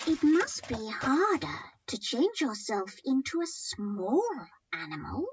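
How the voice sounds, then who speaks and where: This put-on character voice sounds female and speaks at a fairly slow pace with a high pitch. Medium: read story. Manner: crafty.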